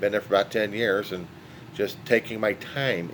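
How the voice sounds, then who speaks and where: A man keeps a moderate pace, his pitch varying in an ordinary way. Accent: American. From California. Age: 60s. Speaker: vlogger. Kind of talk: monologue. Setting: holding a dog. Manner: halting.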